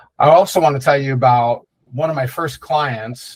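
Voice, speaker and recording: Fairly even intonation from a man, somewhat breathy. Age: 60s. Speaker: digital marketing agency owner. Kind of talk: webinar presentation. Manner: casual, many filler words.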